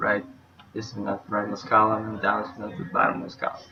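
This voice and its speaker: Music plays in the background. A man speaks with a non-native accent. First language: not English. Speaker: university student. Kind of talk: class presentation, code walkthrough.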